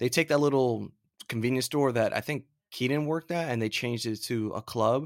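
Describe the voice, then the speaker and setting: Using a plain, everyday voice, a man speaks at a fairly quick pace and medium pitch with ordinary pitch variation. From Florida. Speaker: podcast co-host. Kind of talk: casual chat.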